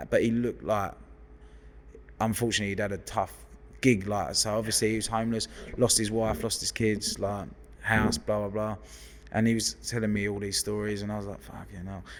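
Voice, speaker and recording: A man with a London accent, his speech broken by long, frequent pauses. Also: fairly low pitch for a man, fairly quick pace. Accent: London geezer, football lad. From West London, England. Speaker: hairdresser. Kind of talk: casual chat. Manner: animated.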